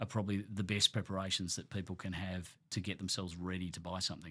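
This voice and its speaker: Fairly quick and fairly low-pitched, a man speaks with an Australian accent and fairly even intonation on a very clean recording with a silent background. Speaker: award-winning auctioneer. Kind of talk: podcast interview answer.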